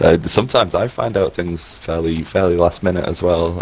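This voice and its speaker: Over noticeable background noise, a man with a very deep, low voice talks at a moderate pace with fairly even intonation. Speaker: gaming community liaison. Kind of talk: casual chat. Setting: live stream.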